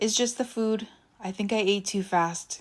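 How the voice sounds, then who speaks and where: In a put-on character voice, a quiet, raspy, female-sounding voice at a medium pitch speaks at a moderate pace on a very clean recording with a silent background. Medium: read story. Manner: quiet, subdued.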